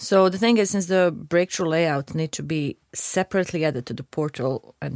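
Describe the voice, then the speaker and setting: On a very clean recording with a silent background and a dry, close sound with no echo, a woman speaks at a moderate pace with ordinary pitch variation. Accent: Croatian. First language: Croatian. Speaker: video game producer. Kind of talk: casual chat.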